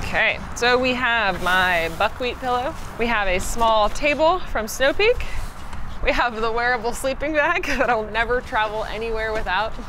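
Noticeable background noise sits behind a woman speaking at a moderate pace. Her pitch varies in an ordinary way. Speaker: road trip vlogger. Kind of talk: casual vlog chat, gear tour. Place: street.

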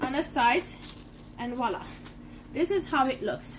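Speaking at a slow pace, a woman keeps her intonation lively.

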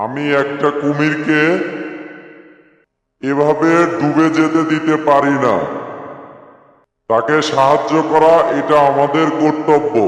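In a cartoonish character voice, a man speaks at a fairly high pitch with clear echo. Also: fairly slow pace. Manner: self-assured, boastful.

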